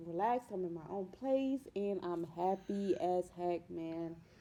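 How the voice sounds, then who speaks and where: A woman is speaking. Her tone is dark and mellow. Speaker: vlogger giving relationship advice. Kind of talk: casual vlog talk.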